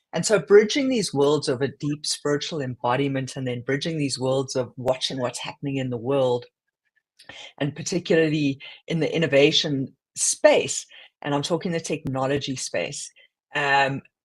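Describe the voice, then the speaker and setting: A man speaks at a moderate pace with a fairly high pitch and ordinary pitch variation. His voice is somewhat breathy. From South Africa. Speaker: podcast co-host, former corporate leader. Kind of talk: casual chat. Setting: live stream.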